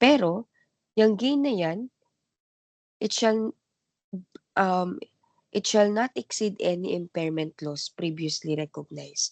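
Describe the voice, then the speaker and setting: Very slow but with lively intonation, a woman speaks at a medium pitch in a dry, close sound with no echo and a quiet background. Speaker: accounting teacher. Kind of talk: recorded lecture. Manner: halting, with fillers.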